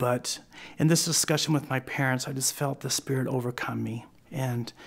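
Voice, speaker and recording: A man's medium-pitched voice with an American accent at a fairly slow pace, on a very clean recording with a silent background. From Oklahoma. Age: 40s. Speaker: interviewee sharing personal faith story. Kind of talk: testimony. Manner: halting, with many fillers and restarts.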